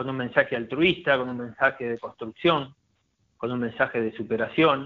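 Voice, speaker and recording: This man speaks with a Rioplatense accent. His pace is fairly quick and his intonation fairly even. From Argentina, Buenos Aires province. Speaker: former footballer and commentator. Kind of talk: casual interview.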